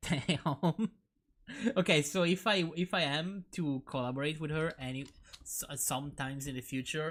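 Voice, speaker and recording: Over a silent background on a very clean recording, a man talks at a moderate pace and a fairly high pitch with ordinary pitch variation. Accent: non-native. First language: not English. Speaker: streamer. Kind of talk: casual live-stream chat. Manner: halting, many repetitions and restarts.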